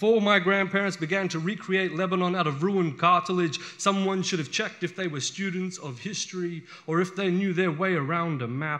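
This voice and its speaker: This man's voice sits high in pitch and moves at a fairly quick pace. His pitch variation is ordinary. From Western Sydney, Australia. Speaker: poet. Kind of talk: live spoken word poetry performance. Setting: live venue.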